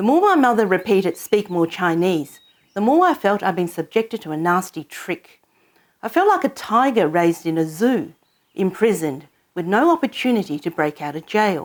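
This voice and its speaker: Speaking at a moderate pace with an Australian accent, this voice has lively intonation. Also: woman, medium pitch for a woman. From Hong Kong, then Australia. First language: Cantonese. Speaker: storyteller. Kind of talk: personal narration.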